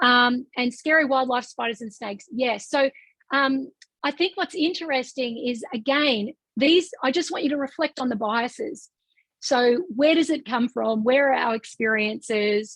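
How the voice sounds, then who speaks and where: A woman's high voice with an Australian accent and ordinary pitch variation, at a moderate pace, dry and close with no echo. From rural Australia. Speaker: business founder and coach trainer. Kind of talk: webinar presentation. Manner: animated.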